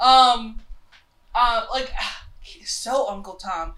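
A woman with an American accent speaks in a high voice with ordinary pitch variation. Noticeable background noise runs under her. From US South, Charlotte, North Carolina. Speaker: podcast co-host. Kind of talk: casual chat.

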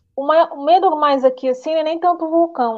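A woman with a Rio de Janeiro accent speaks with ordinary pitch variation. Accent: carioca. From Rio de Janeiro state, Nova Iguaçu. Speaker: illustrator. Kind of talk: interview on a live stream.

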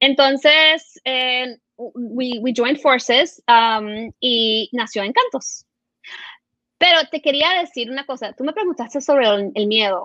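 With a bright, sharp tone, the speaker uses a raised, projected voice at a very slow pace over a quiet background. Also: woman, high pitch for a woman, ordinary pitch variation, dry, close sound with no echo. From Venezuela and Florida. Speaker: entrepreneur, children's media executive. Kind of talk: interview.

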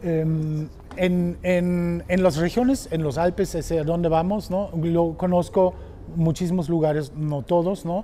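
Speaking with a German accent, a man goes at a very slow pace. His pitch is high and his intonation fairly even. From Germany. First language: German (speaking Spanish). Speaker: motorcycle tour operator. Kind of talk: casual chat. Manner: halting.

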